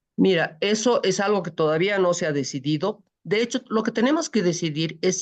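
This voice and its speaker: A woman with an unremarkable speaking voice talks at a moderate pace with lively intonation against a quiet background. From Bolivia. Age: 60s. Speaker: presidential pre-candidate. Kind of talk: interview.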